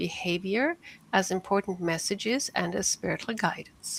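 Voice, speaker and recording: Speaking with a slight German accent, a woman has a bright, sharp tone and ordinary pitch variation at a fairly slow pace. The sound is dry and close, with no echo. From Germany. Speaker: cat whisperer and spiritual healer. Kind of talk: interview.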